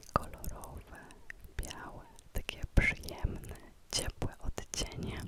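Whispered at a very slow pace with long, frequent pauses, the speech sits over noticeable background noise. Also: woman. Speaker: ASMR creator. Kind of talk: guided visualization for sleep. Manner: close whisper; slow, calm, soothing.

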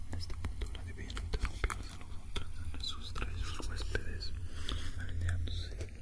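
Everything is whispered. It moves at a fairly slow pace. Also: man. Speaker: ASMR creator doing a teacher roleplay. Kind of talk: reading aloud from a book. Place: classroom. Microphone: studio mic.

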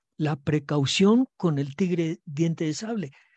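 A man speaks slowly at a fairly high pitch with lively intonation. His tone is dark and mellow, the sound dry and close with no echo.

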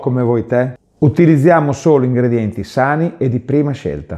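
Against a quiet background, this man's medium-pitched, dark, mellow voice carries a Bolognese accent and ordinary pitch variation. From Bologna, northern Italy; northern Italy. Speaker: pet food producer and video host; video host. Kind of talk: promotional presentation. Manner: friendly direct address.

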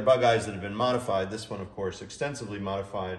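At a fairly quick pace and with ordinary pitch variation, the voice carries audible room echo. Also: man. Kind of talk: product demonstration. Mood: cheerful, enthusiastic. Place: garage. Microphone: camera far.

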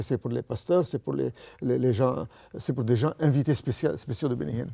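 In a quiet background, a man talks at a moderate pace in a dark, mellow tone. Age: 80s+. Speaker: retired banker turned evangelist. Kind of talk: testimony. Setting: studio. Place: studio. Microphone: lapel.

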